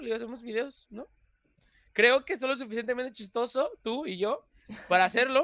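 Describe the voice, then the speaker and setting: A man's raised, projected voice, extremely high-pitched for a man, bright and sharp in tone, at a fairly quick pace. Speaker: content creator. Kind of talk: casual chat. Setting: livestream.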